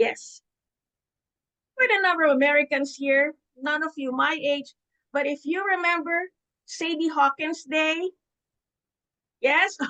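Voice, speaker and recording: With an extremely high pitch and a bright, sharp tone, a woman uses a raised, projected voice with long, frequent pauses in a dry, close sound with no echo. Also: ordinary pitch variation, fairly slow pace. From Philippines. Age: 70s. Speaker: public speaking club member. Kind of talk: storytelling speech. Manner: animated.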